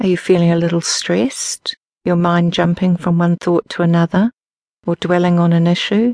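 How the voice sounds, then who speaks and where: This is a plain, everyday voice from a woman with a fairly low pitch and very even loudness. The sound is dry and close, with no echo. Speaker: meditation teacher and audiobook narrator. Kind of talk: guided meditation, slow step-by-step body-scan and breath-awareness instructions. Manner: slow, calm, unhurried pacing with pauses between instructions; gentle, soothing, softly directive.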